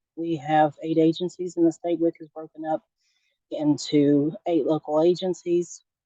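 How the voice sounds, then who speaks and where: A woman with an American accent speaks at a fairly slow pace. Her voice has a very deep, low pitch and a dark, mellow tone. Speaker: state nutrition program coordinator. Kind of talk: online presentation. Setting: video call. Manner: frequent fillers, hesitant.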